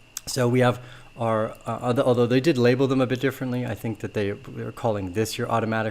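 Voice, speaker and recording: Monotone and flat in intonation, a man talks at a fairly quick pace. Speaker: crypto market analyst. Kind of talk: market analysis video. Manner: fast.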